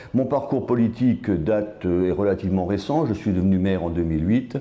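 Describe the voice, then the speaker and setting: A man speaks in a dark, mellow tone with a fairly low pitch. His intonation is lively. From Alsace, France (Strasbourg area). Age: 60s. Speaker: politician. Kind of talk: interview. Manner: hesitant with fillers.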